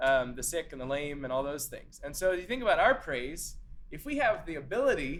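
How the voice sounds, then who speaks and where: There is audible room echo in this clip. A man talks at a moderate pace. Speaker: church singing teacher. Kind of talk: lecture. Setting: classroom with in-person and zoom attendees. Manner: casual, many filler words.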